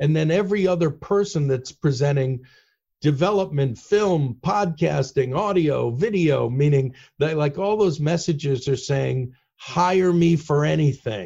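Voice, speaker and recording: Speaking at a fairly slow pace, a man uses a fairly high pitch with ordinary pitch variation. His tone is dark and mellow, and somewhat breathy. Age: 60s. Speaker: headhunter and author. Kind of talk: casual interview chat. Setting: video call.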